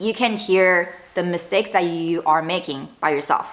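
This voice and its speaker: A woman with a slight Chinese accent talks at a moderate pace. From northern China. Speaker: lifestyle vlogger. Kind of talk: casual vlog talk to camera. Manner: conversational, with fillers and self-corrections.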